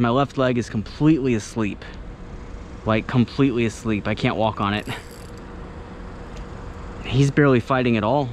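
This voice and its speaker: Moderate pace and ordinary pitch variation in a dry, echo-free recording with light background noise. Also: man. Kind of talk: casual vlog commentary. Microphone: phone near.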